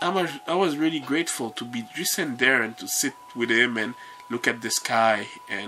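A man at a moderate pace, with ordinary pitch variation and light background noise. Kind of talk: casual vlog chat. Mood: warm, grateful reminiscing. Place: home room. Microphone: phone near.

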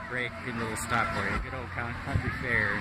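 A man's voice against loud background noise. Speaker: vlogger filming a walk. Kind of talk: casual vlog chat. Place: street. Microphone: phone near.

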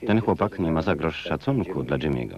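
A man is speaking. His voice has vocal fry. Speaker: Polish film voice-over reader (lektor). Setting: recorded from a VHS tape.

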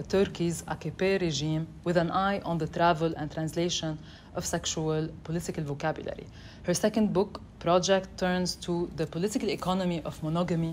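A woman with an ordinary speaking voice talks at a moderate pace, fairly low in pitch with fairly even intonation, over light background noise. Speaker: event host introducing speakers. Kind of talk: formal introduction. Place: classroom.

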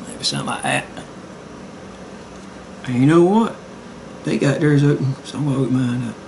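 Over light background noise, a man speaks in a relaxed tone at a fairly quick pace, with ordinary pitch variation and long, frequent pauses. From Southern United States. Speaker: amateur artist. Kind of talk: casual drawing tutorial narration. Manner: relaxed, rambling.

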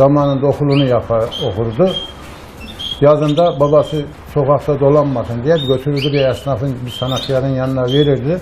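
A man speaks at a fairly high pitch with fairly even intonation. Background noise is noticeable. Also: moderate pace. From Sivas, central Anatolia, Turkey; Turkey. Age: 60s. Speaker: retired blacksmith and canary breeder. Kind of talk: casual interview. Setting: bird house. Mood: calm, nostalgic. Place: shop. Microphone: lapel.

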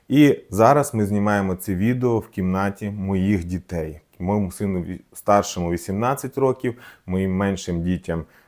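A man with a Russian accent speaks at a fairly slow pace in a fairly low pitch, with ordinary pitch variation, on a very clean recording with a silent background. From southern Ukraine, Mykolaiv oblast. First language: Russian (speaking Ukrainian). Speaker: doctor and video blogger. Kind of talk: personal video essay. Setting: children's room at home.

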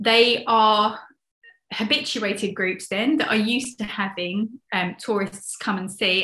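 With a southern English accent, a woman speaks fairly slowly and with fairly even intonation, her voice carrying audible room echo. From London. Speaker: conservationist and ecotourism advocate. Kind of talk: casual interview. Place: home room. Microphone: video call.

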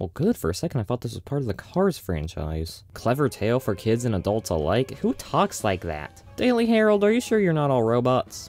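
Over faint music in the background, a man talks at a fairly quick pace in a dry sound with no echo. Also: hardly any pauses. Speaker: movie reviewer. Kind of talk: comedic review commentary. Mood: dry sarcastic humor. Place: home room.

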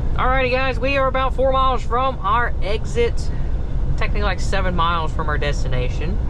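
Moderate pace, dry sound with no echo, and noticeable background noise. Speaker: truck driver vlogger. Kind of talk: casual vlog chat. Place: car. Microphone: phone near.

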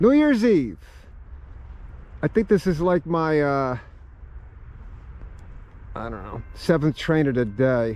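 The man speaks at a very slow pace. His voice sounds dry, with no echo. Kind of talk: casual commentary. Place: open country. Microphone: phone near.

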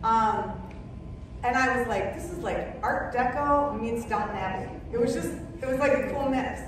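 A woman with an American accent, high-pitched, at a moderate pace with long, frequent pauses, amid strong room echo and noticeable background noise. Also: ordinary pitch variation. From Minnesota. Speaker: interior designer and color consultant; speaker. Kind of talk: talk to a club audience. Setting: stage with audience. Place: hall. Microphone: camera far.

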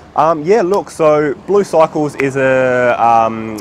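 A man's voice sounds dry, with no echo. Light background noise sits behind it. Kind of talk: interview answer. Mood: friendly, relaxed. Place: street.

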